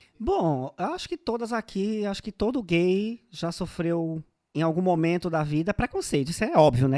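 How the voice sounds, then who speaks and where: At a moderate pace, a man talks at a high pitch with a dark, mellow tone. The recording is very clean with a silent background and a dry, close sound with no echo. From Northeast Brazil, Paraíba (Guarabira). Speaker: podcast co-host. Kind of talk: casual comedic chat. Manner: animated.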